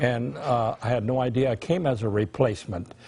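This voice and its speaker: With an American accent, the voice has a dark, mellow tone and is somewhat breathy. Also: man. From California Central Valley, Reedley. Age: 90s. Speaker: war veteran. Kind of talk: testimony. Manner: halting.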